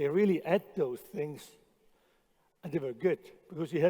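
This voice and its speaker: A man speaks at a high pitch with a dark, mellow tone. His pitch varies in an ordinary way. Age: 60s. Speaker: chef. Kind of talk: conference talk. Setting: stage with audience. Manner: halting, repeats words.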